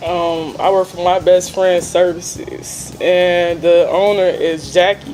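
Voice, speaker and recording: In an American accent, a woman speaks at a very slow pace with hardly any pauses, a fairly low pitch and monotone, flat intonation over noticeable background noise. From Chicago, Illinois, US Midwest. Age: 20s. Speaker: formerly homeless mother, cleaning supervisor. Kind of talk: testimony interview.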